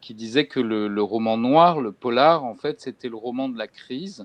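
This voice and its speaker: At a very slow pace, a man with medium pitch speaks in a dry, close sound with no echo. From France. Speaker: bookseller and crime fiction specialist interviewer. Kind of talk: literary interview. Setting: video call. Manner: halting, many hesitations.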